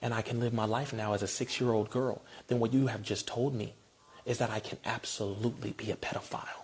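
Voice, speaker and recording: The speaker is a man with an animated tone. His voice is somewhat breathy. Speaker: activist speaker. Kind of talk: impassioned monologue. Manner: fast.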